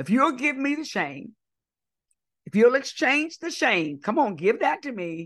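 Animated in tone, a woman with an American accent speaks at a fairly slow pace, her pitch swinging very widely. The background is quiet. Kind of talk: sermon. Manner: call-and-response preaching cadence.

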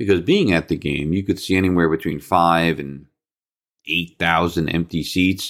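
A man with an American accent speaks at a moderate pace in a very deep, low voice with fairly even intonation, on a very clean recording with a silent background. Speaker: sports podcast host. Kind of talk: solo sports commentary podcast. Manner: casual, stream of consciousness.

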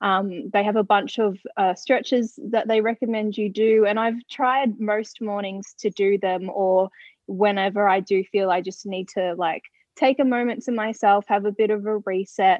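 This woman speaks with an Australian accent at a medium pitch. Her pace is moderate and her intonation fairly even. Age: 20s. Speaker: radio presenter and author. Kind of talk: casual interview chat.

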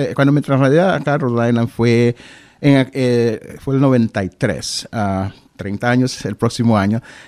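With an ordinary speaking voice at medium pitch, a man shows ordinary pitch variation and big swings in loudness, in a very clean recording with a silent background and a dry, close sound with no echo. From Honduras, then Boston from age 15. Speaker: government diversity official and local historian. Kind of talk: radio interview. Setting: radio studio.

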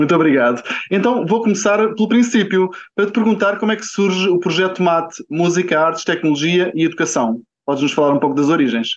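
This man speaks at a very fast pace. His high voice carries lively intonation. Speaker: podcast host. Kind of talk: interview.

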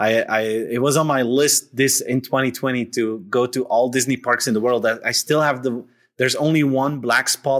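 A man with a Dutch accent at a medium pitch and moderate pace, fairly even intonation and very even loudness, in a very clean recording with a silent background. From Belgium (Flanders). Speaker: author and keynote speaker. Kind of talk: interview.

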